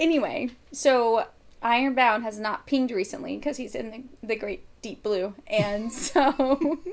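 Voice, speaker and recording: A woman's high voice in an American accent, fairly slow, with ordinary pitch variation and big swings in loudness. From Florida, Miami. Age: 30s. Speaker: bikini competitor and hunter. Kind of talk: casual chat. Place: home room.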